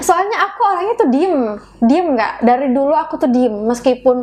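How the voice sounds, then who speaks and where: Against noticeable background noise, a woman talks with lively intonation. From Madura, Indonesia. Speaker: singer. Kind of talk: interview chat.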